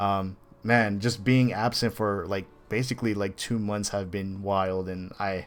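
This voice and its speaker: With music in the background, the speech moves at a fairly slow pace in a flat monotone. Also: man, fairly low pitch for a man. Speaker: video game critic. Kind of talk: casual chat. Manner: halting.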